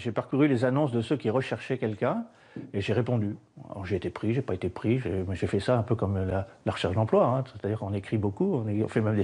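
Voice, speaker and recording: Against a quiet background, the voice is dark, mellow and somewhat breathy, moving at a very fast pace with lively intonation. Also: man. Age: 60s. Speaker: retiree working as tiler. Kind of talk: interview. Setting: building site. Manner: halting.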